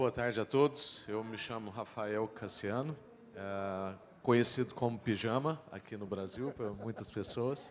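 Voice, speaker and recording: With a plain, everyday voice, a man speaks at medium pitch and a fairly slow pace with ordinary pitch variation. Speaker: pastor. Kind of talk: panel discussion.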